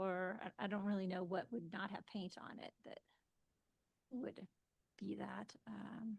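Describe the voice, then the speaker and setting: The speaker's voice carries vocal fry at a fairly slow pace. Long, frequent pauses break up the speech. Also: woman, medium pitch for a woman. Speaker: planning commissioner. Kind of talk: public meeting discussion. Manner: hesitant.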